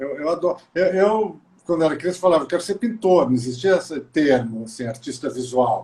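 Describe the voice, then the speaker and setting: A man speaks at a fairly quick pace. His voice has a dark, mellow tone. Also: fairly high pitch for a man, lively intonation. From Brazil, Maringá (Paraná). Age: 60s. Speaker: visual artist. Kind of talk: casual interview. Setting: live video call.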